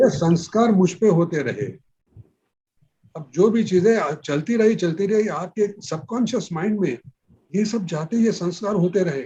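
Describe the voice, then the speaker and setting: This man speaks with a high pitch and ordinary pitch variation. His tone is dark and mellow. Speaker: classical vocalist. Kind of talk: interview answer.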